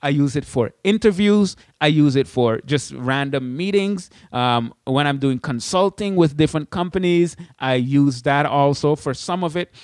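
A man with a Caribbean accent talks at a moderate pace in an animated tone. His pitch is fairly high, with ordinary pitch variation, against a quiet background. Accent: Caribbean, put on for the intro only. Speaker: podcast host, blogging educator. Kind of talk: casual solo tutorial. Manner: animated, laughing.

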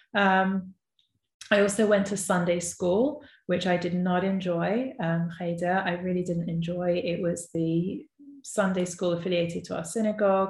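The voice is somewhat breathy with fairly even intonation. It moves at a moderate pace. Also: woman, medium pitch for a woman. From North West London, England. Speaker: podcast host and entrepreneur. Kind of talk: personal storytelling monologue. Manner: conversational with frequent fillers.

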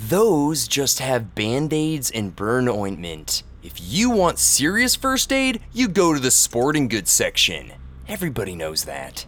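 A man's put-on character voice, whiny in tone, at a fairly slow pace. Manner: whiny, sardonic.

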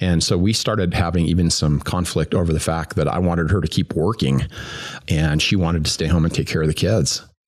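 Speaking with a General American accent, a man uses a very deep, low pitch at a fairly quick pace, with fairly even intonation and very even loudness. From US, Greeley, Colorado. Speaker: former business executive and recovering alcoholic. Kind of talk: personal faith testimony. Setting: recorded in person at a church.

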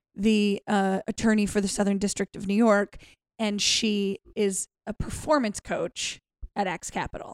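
In a very clean recording with a silent background, a woman with an unremarkable speaking voice talks at a fairly slow pace and medium pitch, her intonation fairly even and the sound dry and close with no echo. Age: 40s. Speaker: stand-up comedian. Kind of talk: casual chat.

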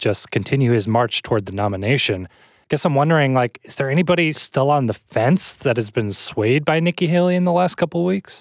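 Someone with an unremarkable speaking voice talks at a fairly quick pace with lively intonation. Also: man, very clean recording, silent background. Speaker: podcast host. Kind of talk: news interview.

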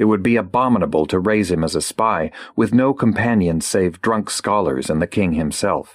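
Speech in a natural reading voice.

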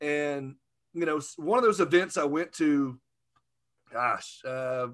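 Fairly high in pitch, a man's voice comes through in a very clean recording with a silent background. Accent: Southern US. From US South, Arkansas. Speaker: podcaster, insurance industry figure. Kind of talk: casual interview chat.

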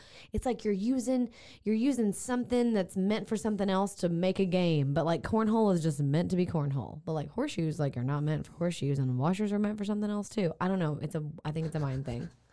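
A woman speaks at a very fast pace with lively intonation. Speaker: podcast co-host. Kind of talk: casual chat.

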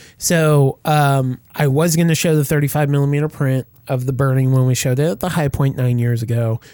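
Fairly quick, very evenly loud speech from a man with a fairly high pitch, a dark, mellow tone and fairly even intonation. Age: 40s. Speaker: horror podcast host. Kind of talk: casual chat.

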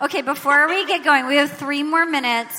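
A woman speaks in a raised, projected voice at high pitch. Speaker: podcast host and stand-up comedian. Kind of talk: live comedy podcast banter. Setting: stage with audience. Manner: animated, rambling.

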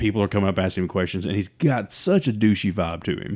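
A man with an Alabama accent, fairly low in pitch and fairly quick in pace, on a very clean recording with a silent background. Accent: Southern US (Alabama). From US South. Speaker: podcast co-host. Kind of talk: casual chat.

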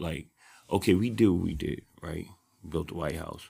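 A man talks in a very deep, low voice with vocal fry. His pitch variation is ordinary. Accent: New York. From New York City, South Bronx. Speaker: activist. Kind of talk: heated debate. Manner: animated.

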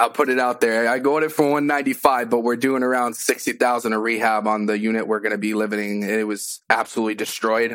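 Here is a normal speaking voice at a fairly quick pace, with fairly even intonation. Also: man. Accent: American. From Massachusetts. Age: 20s. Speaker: new real estate investor. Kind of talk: live coaching call.

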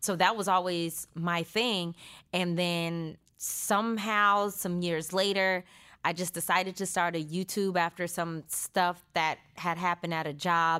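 Speaking fairly slowly in an American accent, a woman has a bright, sharp tone and monotone, flat intonation on a very clean recording with a silent background. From California, Stockton. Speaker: actor and YouTuber. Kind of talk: interview.

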